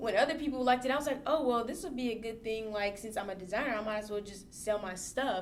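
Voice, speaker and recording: A woman's fairly high voice at a very fast pace, with ordinary pitch variation, noticeable background noise and audible room echo. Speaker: fashion designer and stylist. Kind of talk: casual interview chat.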